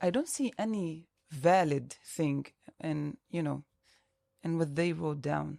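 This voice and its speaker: A woman with an Arabic accent talks at a moderate pace, her very deep, low voice dark and mellow. Her pitch varies in an ordinary way, and she leaves long, frequent pauses. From Palestinian citizen of Israel. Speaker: activist movement co-director. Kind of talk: podcast interview discussion.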